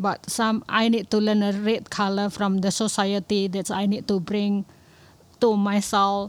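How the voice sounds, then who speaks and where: A woman's fairly slow, monotone, flat delivery on a very clean recording with a silent background. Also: medium pitch for a woman. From Indonesia. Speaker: domestic worker and writer. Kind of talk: casual chat.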